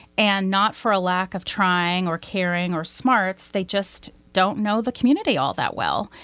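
A woman with a normal speaking voice and an American accent talks at a medium pitch with ordinary pitch variation. Her moderate pace has hardly any pauses, on a very clean recording with a silent background. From US South, Arkansas. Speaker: nonprofit executive director. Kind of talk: interview.

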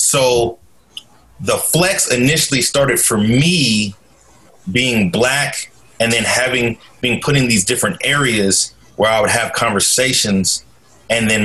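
A man with an American accent talks at a fairly slow pace in a medium pitch, with ordinary pitch variation and very even loudness. Noticeable background noise is present. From US Pacific Northwest, Portland, Oregon. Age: 30s. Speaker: school social worker and nonprofit director. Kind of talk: casual interview chat.

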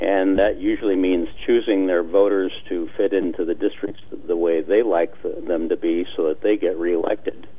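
Here a man talks at a moderate pace. He hardly pauses at all. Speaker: political reform advocate, committee chair. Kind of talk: interview. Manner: measured, hesitant with frequent fillers.

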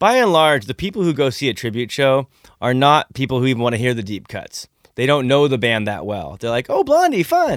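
A man with an ordinary speaking voice talks at a fairly quick pace and medium pitch, his intonation lively. The recording is very clean, with a silent background. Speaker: concert promoter and drummer. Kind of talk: casual radio interview chat. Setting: radio studio. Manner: relaxed, chatty, joking.

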